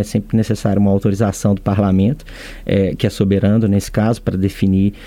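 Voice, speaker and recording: A man speaks at a fairly quick pace. His voice is fairly low with a dark, mellow tone. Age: 40s. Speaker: state company president. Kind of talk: interview. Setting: studio. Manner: halting, frequent fillers.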